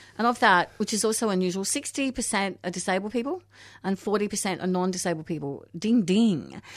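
An Australian accent from a woman, medium in pitch, at a fairly quick pace with ordinary pitch variation. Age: 50s. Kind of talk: casual interview. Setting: radio studio. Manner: animated.

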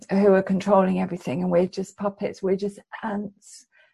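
Somewhat breathy and dark, mellow in tone, a woman talks at a fairly quick pace with ordinary pitch variation. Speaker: academic researcher. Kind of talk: interview.

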